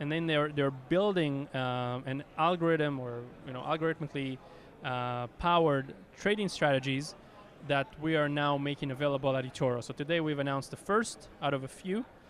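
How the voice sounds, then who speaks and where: A man with a strong Israeli accent speaks at a fairly high pitch with ordinary pitch variation. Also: moderate pace. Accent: Israeli accent, thick. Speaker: company executive. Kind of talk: interview. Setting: conference.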